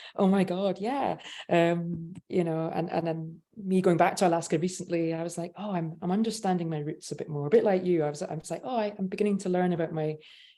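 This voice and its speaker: A woman's fairly low, dark, mellow voice with a Scottish accent, fairly quick in pace and fairly even in intonation. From Scotland. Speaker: panel moderator. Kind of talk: panel discussion. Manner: hesitant, many fillers.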